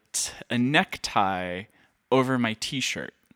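On a very clean recording with a silent background, a man talks very slowly at a medium pitch, his tone bright and sharp, with ordinary pitch variation and a dry, close sound with no echo. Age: 30s. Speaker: composer and producer, podcast host. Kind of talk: solo monologue, casual. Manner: casual, rambling with fillers and laughs.

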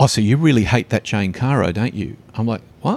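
In an Australian accent, the speaker goes at a fairly quick pace with ordinary pitch variation on a very clean recording with a silent background. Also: man. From western Sydney, Australia. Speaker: advertising strategist and speaker. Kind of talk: casual interview. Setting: cafe. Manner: forceful, confronting.

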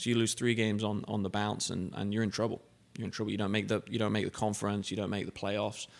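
Speaking very fast with an English accent, a man keeps a monotone, flat intonation at a fairly low pitch. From England. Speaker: car dealership general manager. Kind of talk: casual interview. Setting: studio.

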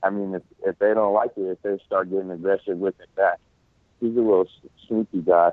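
Speaking with an American accent at a fairly quick pace, a man uses fairly low pitch and monotone, flat intonation, with big swings in loudness. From eastern Washington, US. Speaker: guest who played pickup basketball. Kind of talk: casual interview. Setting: remote call.

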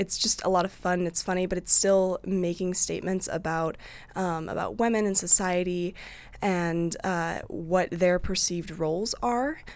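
A woman with a Midwestern US accent, medium-pitched, speaking at a fairly slow pace with fairly even intonation, on a very clean recording with a silent background. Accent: US Midwest. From Iowa, Eldridge near Davenport. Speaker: student theater director. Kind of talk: interview.

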